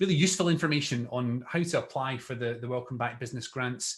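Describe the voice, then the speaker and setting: A man with a Scottish accent talks very fast at a medium pitch. His voice is somewhat breathy, with lively intonation. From Scotland. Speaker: local councillor. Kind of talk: webinar presentation. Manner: hesitant, many fillers.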